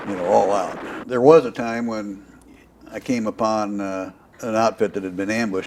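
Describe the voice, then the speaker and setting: A man speaks at a fairly low pitch with an American accent, over noticeable background noise. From US Midwest, Iowa. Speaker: war veteran. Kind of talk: oral history interview.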